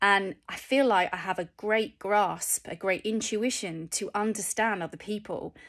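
A woman with a northern English accent speaks at a fairly slow pace with ordinary pitch variation and hardly any pauses, against a quiet background. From England, Cheshire; England. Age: 40s. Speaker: vlogger. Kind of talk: personal vlog. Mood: reflective, candid. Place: home room. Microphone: phone near.

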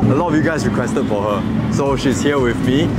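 A man talks at a fairly quick pace with music in the background. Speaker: food vlogger host. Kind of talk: casual vlog chat. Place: street.

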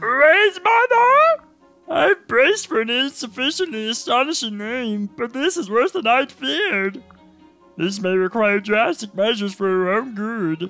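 Over faint background music, a put-on character voice speaks at a fairly high pitch. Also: moderate pace. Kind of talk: formal, verbose. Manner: pompous, scolding.

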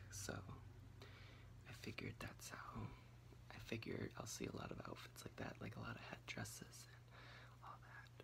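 A man speaking at a moderate pace over noticeable background noise. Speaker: ASMR creator. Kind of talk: casual ramble recap talk to camera. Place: home room. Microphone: phone near.

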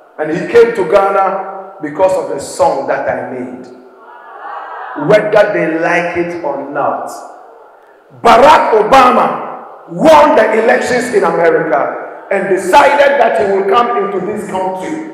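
A man at a fairly slow pace with very wide pitch swings and audible room echo. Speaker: speaker. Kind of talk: motivational speech to students. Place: hall. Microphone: handheld.

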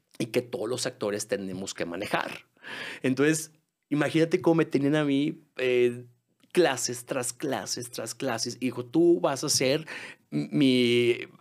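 A medium-pitched man with a Mexican accent, lively intonation and a fairly slow pace, against a quiet background. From Guadalajara, Mexico. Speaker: musical theatre singer and actor; actor. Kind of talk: podcast interview. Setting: studio. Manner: halting with many fillers. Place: studio. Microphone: studio mic.

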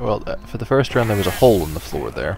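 Over noticeable background noise, a man talks at a very fast pace. His pitch varies in an ordinary way. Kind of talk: casual gameplay chat.

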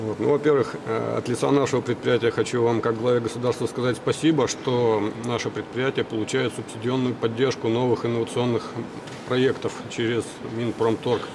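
A man's medium-pitched voice, flat and monotone, at a moderate pace over noticeable background noise. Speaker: chief design engineer. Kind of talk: formal question at meeting.

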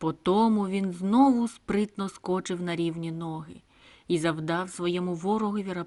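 The voice reads naturally.

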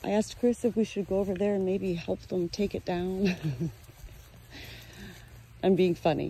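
A woman at a fairly slow pace, dry with no echo, over light background noise. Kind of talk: casual vlog chat. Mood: cheerful, laughing. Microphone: phone near.

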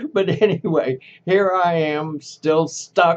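The speaker is a man. He has a Texan accent. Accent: Texan Southern US. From Texas, Dallas. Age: 80s+. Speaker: vlogger. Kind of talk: casual vlog monologue; casual vlog chat. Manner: halting, with repetitions. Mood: wistful. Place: home room. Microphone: webcam.

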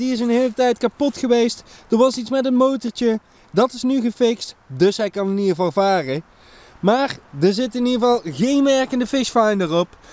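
A man's extremely high-pitched voice with ordinary pitch variation at a moderate pace, in a dry sound with no echo. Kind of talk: casual vlog chat. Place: waterside. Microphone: phone near.

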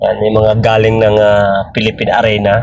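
Intonation stays monotone and flat. A man speaks fairly slowly. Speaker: vlogger and driver. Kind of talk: driving vlog narration. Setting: in a vehicle. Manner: halting, many fillers.

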